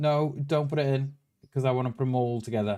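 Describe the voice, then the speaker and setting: A man with a Welsh accent talks at a medium pitch. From Wales. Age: 40s. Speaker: gaming streamer. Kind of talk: live stream chat while gaming. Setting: live stream. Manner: casual, repetitive with restarts.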